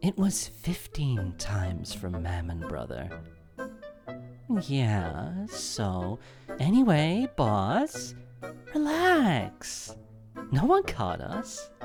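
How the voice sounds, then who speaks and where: In a low-pitched, put-on character voice, the speaker drags along at a very slow pace while music plays clearly in the background. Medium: dub.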